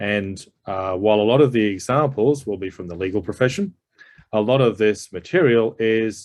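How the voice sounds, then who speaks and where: A man with an Australian accent speaks at a moderate pace in a fairly low voice with ordinary pitch variation. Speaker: psychologist and executive coach. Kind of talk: presentation.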